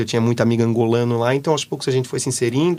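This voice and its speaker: Speaking with a Brazilian accent, a man has a medium pitch. He goes at a very fast pace. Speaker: exchange student. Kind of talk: interview. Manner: animated.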